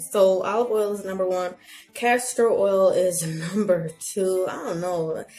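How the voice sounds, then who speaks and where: Noticeable background noise accompanies a woman. She speaks at a fairly slow pace with fairly even intonation. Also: medium pitch for a woman. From Haitian heritage. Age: 30s. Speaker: natural hair vlogger. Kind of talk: casual talk to camera. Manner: chatty, playful.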